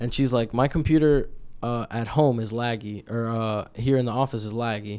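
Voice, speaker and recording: With an unremarkable speaking voice, a man talks at a moderate pace and medium pitch, his intonation fairly even. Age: 20s. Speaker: podcast host. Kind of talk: casual chat. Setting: home studio.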